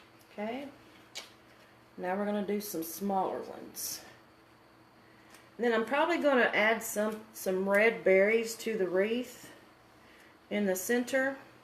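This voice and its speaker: In a room with audible echo, a woman with a fairly high pitch and ordinary pitch variation speaks at a fairly slow pace, leaving long, frequent pauses. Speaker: craft demonstrator. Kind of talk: live craft tutorial.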